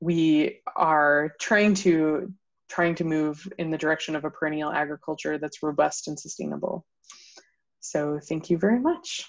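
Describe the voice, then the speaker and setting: A woman with a very deep, low pitch talks at a moderate pace and fairly even intonation. The background is quiet. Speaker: commercialization manager. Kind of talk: webinar presentation. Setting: video call. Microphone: video call.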